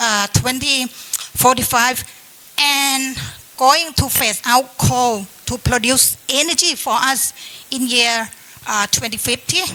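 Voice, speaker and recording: A woman's raised, projected voice, high in pitch, at a fairly slow pace with ordinary pitch variation over noticeable background noise. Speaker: government climate official. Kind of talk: panel discussion. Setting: seminar panel in hotel.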